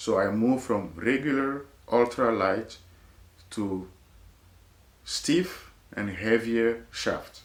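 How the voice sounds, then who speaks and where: With a strong French accent, a man speaks at medium pitch with ordinary pitch variation. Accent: heavy French. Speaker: golf video creator. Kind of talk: casual chat.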